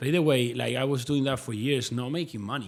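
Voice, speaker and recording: With a Spanish accent, a man speaks at a medium pitch and a fairly quick pace, with ordinary pitch variation. The recording is very clean and the background silent. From Spain, Madrid. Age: 30s. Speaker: fitness influencer and online coach. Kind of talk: casual interview chat.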